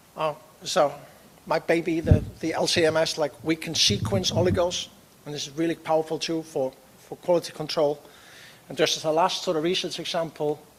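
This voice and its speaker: A man's fairly high voice is heard with noticeable background noise around it. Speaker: professor. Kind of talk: conference talk. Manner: halting.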